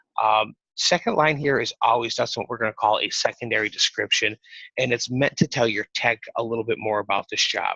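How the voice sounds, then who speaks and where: A man's fairly low-pitched voice with an American accent, bright, sharp tone, fairly even intonation, and fairly quick pace in a dry, close sound with no echo. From New York. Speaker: software sales rep. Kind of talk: sales demo over a call. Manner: fast-talking.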